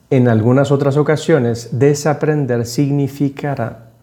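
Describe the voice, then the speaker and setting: Speaking at a fairly slow pace, a man with a fairly high pitch and a dark, mellow tone keeps his intonation fairly even. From Panama. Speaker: podcast host. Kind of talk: reflective monologue.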